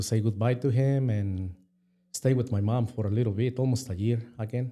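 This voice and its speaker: With a Mexican accent, the speaker uses a dark, mellow tone, fairly even intonation and a moderate pace. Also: man. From Mexico. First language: Spanish. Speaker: restaurant co-owner. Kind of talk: interview. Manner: halting.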